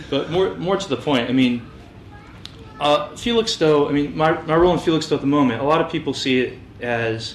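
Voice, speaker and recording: The speaker talks at a fairly quick pace with an American accent, and noticeable background noise is present. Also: man, fairly high pitch for a man. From US West Coast, Orange County, Los Angeles. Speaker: fitness business owner. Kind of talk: interview. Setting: local TV interview. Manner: halting, many repetitions and fillers.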